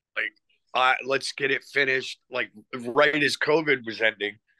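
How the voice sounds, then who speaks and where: A man with an American accent, a bright, sharp tone, medium pitch and ordinary pitch variation, in a dry, close sound with no echo over a quiet background. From USA. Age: 60s. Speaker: rock singer. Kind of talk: interview.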